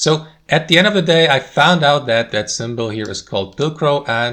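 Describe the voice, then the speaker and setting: In a very clean recording with a silent background, a man with a non-native accent speaks at a fairly quick pace in a fairly high pitch, with a bright, sharp tone and ordinary pitch variation. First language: not English. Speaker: tech tutorial creator. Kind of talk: tutorial. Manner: casual, conversational.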